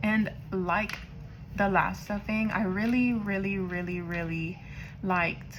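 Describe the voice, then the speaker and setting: Amid audible room echo, a woman talks very slowly in a somewhat breathy voice with ordinary pitch variation. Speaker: budgeting vlogger. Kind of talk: casual vlog chat. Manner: casual, chatty.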